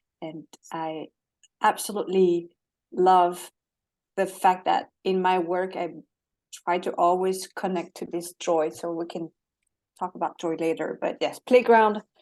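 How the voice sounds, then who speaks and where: A woman with a French accent speaks at a fairly slow pace and a fairly low pitch, with fairly even intonation. She leaves long, frequent pauses. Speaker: holistic coach. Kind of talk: interview.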